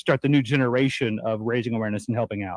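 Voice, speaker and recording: A man speaks with an Arkansas accent at a fairly quick pace. His pitch varies in an ordinary way. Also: dry, close sound with no echo. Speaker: TV host. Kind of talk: casual chat.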